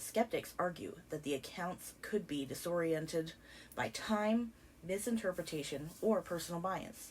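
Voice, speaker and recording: Somewhat breathy and fairly slow, a woman speaks at a fairly low pitch with lively intonation. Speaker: documentary narrator. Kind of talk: scripted narration.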